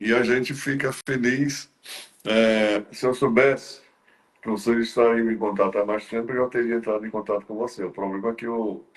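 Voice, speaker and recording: Keeping a moderate pace, a man talks at a medium pitch with fairly even intonation. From Brazil, Ceará interior (Northeast). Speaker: talk show host. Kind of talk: interview conversation. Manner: halting, many fillers and repetitions.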